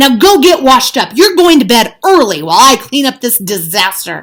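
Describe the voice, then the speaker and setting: A woman uses a put-on character voice with a high pitch and very wide pitch swings. She talks at a moderate pace. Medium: read story.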